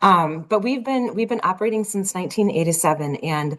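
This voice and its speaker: This woman speaks with a slight Minnesota accent and lively intonation. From Minnesota, US. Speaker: nonprofit executive. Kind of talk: interview.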